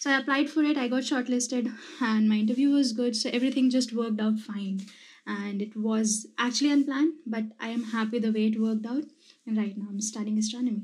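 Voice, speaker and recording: A woman with a fairly high voice talks at a very fast pace with fairly even intonation. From India, Madhya Pradesh. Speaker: astrophysics doctoral researcher. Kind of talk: casual interview.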